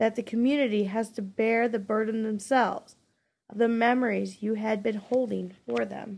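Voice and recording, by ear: Against a quiet background, a person is reading aloud in a natural voice.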